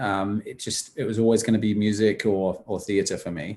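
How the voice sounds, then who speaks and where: A man's medium-pitched voice in a very clean recording with a silent background. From England. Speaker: musical theatre actor. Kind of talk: Q&A answers.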